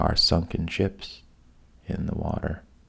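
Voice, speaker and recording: Against noticeable background noise, a man speaks in a calm tone at a very slow pace. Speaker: sleep podcast host, storyteller. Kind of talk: bedtime storytelling. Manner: deliberately boring, monotone; slow, calm.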